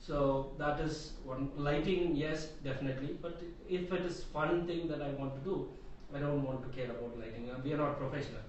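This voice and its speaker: With noticeable background noise and audible room echo, a man speaks in a fairly high pitch. His pace is fairly quick and his intonation fairly even. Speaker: digital marketing trainer. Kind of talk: group discussion. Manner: loud.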